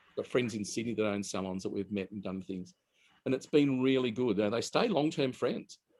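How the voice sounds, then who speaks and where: Speaking in an Australian accent, the voice moves at a fairly quick pace with ordinary pitch variation. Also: man, medium pitch for a man. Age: 60s. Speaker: hairdresser. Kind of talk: interview.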